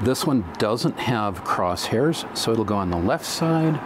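This man's pitch swings very widely. Noticeable background noise sits behind him. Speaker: product demonstrator. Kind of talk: tutorial. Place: studio.

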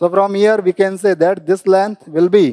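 A man speaks at a fairly slow pace in a high pitch, his tone dark and mellow. His intonation stays fairly even against a quiet background. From India. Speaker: physics teacher. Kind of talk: lecture. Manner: explanatory, repetitive teacher's pace. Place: studio. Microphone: lapel.

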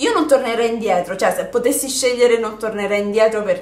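There is audible room echo around a woman speaking at a fairly high pitch. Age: 20s. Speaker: YouTuber. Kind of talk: casual chat. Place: home room.

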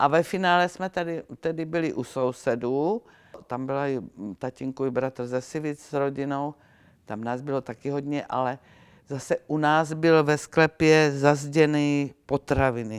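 Against a quiet background, a woman speaks at a fairly slow pace in a very deep, low pitch with ordinary pitch variation. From Czechia, South Moravia (Viničné Šumice); South Moravia, Czechia. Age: 80s+. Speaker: eyewitness; witness. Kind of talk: oral history interview. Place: hall. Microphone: lapel.

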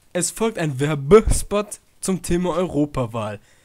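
Big pitch swings run through a man's fairly high voice, which has a slightly mellow tone. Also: fairly slow pace.

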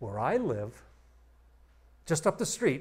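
A man speaks in a somewhat breathy voice with very wide pitch swings. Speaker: conference speaker on computing history; presenter. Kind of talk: lecture. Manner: fast. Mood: light, joking. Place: hall.

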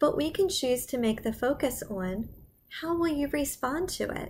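A woman at a very slow pace with lively intonation and light background noise. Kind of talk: school announcements to children. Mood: cheerful, encouraging. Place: home room. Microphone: webcam.

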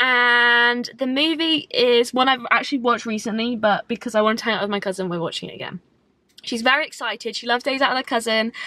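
A woman talks very fast in a high, bright, sharp voice with ordinary pitch variation. The sound is dry, with no echo. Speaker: vlogger. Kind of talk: casual vlog chat. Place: car. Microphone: phone near.

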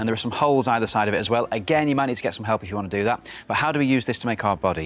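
Over light background noise, a man speaks at a very fast pace. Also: ordinary pitch variation. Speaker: puppeteer. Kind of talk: TV craft demonstration, guest explaining steps. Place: studio. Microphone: lapel.

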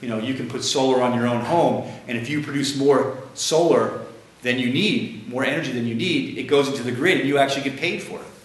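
A man's fairly quick speech, with ordinary pitch variation, is heard amid audible room echo and light background noise. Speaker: guest lecturer. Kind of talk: lecture. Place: classroom. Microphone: camera far.

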